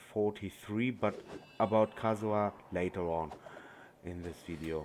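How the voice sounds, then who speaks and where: A man with a non-native accent talks at a fairly low pitch with ordinary pitch variation. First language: not English. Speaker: gaming YouTuber. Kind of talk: game tutorial. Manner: halting.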